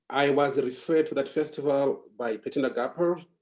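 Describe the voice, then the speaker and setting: With a Zimbabwean accent, a man speaks at medium pitch in a dark, mellow tone. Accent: Zimbabwean (Ndebele) English. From Zimbabwe, Bulawayo. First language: Ndebele. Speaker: writer. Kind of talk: interview. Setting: podcast interview.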